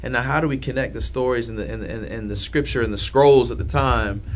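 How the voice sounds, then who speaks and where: A man with an American accent and a very deep, low pitch speaks at a very fast pace, with audible room echo and noticeable background noise. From downtown Indianapolis, Indiana. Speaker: church planter. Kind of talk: casual chat.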